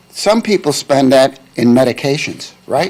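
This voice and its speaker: Noticeable background noise beneath fairly slow speech full of very wide pitch swings. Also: man. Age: 70s. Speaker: public commenter at county meeting. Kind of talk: public comment.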